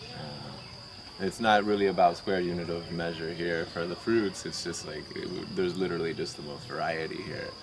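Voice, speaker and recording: A man's very deep, low voice at a moderate pace, with hardly any pauses and fairly even intonation, amid noticeable background noise and audible room echo. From moved around US: Maryland, Oklahoma, Colorado, California. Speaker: raw vegan coconut worker at sanctuary. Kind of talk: casual interview. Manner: soft-spoken; halting, many fillers.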